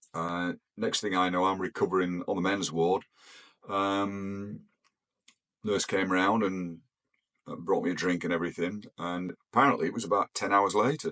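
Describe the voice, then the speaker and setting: A man with an English accent speaks at a moderate pace in a very deep, low voice. His intonation stays fairly even, broken by long, frequent pauses. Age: 70s. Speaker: retired pilot. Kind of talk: personal storytelling. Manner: hesitant, many fillers.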